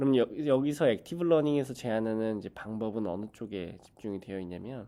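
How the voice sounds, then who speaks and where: A man with a dark, mellow tone and medium pitch talks at a fairly quick pace. His pitch variation is ordinary, while his loudness swings widely. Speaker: graduate student researcher. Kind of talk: lecture.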